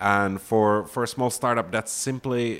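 Against a silent background in a very clean recording, a man with a Finnish accent talks at a medium pitch with ordinary pitch variation. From Finland. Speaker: startup founder and CEO. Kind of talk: interview. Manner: halting, many fillers.

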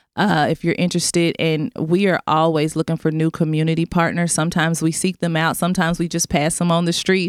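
A woman with an American accent speaks at a moderate pace with a fairly low pitch. The sound is dry and close with no echo, on a very clean recording with a silent background. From Memphis, Tennessee (US South). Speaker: school network director, former teacher. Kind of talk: radio interview.

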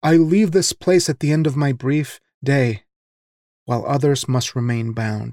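A man's plain, everyday voice, fairly high in pitch, at a fairly slow pace with ordinary pitch variation and a dry, close sound with no echo. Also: very clean recording, silent background. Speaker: podcast host reading a guest's poems. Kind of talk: poem performed, read aloud in a solemn, measured voice.

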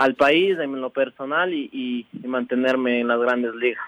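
A normal speaking voice from a man at medium pitch and a fairly slow pace. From Ecuador, Imbabura (Ibarra). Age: 20s. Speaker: professional cyclist. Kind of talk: radio interview.

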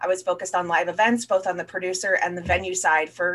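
This woman has an ordinary speaking voice at medium pitch, with ordinary pitch variation and an American accent. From Florida. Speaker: marketing executive. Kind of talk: casual interview.

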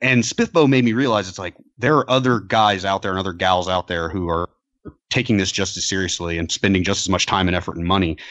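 In a plain, everyday voice, a man talks at a fairly quick pace with a fairly low pitch and ordinary pitch variation. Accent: American. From US South. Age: 30s. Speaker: author.

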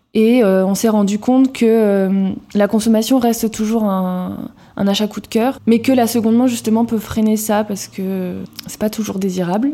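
A woman's normal speaking voice, fairly high in pitch, at a fairly slow pace. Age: 20s. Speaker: co-founder of a vintage homeware shop. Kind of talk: interview.

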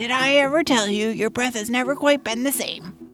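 At a moderate pace, a female-sounding put-on character voice speaks with a high pitch. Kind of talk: folksy trader talk. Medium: audio drama. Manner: teasing, chummy, salesy.

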